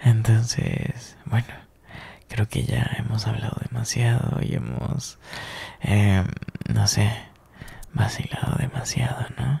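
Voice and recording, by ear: Whispering in a put-on character voice, a man speaks at a slow pace with vocal fry and a husky, rough edge.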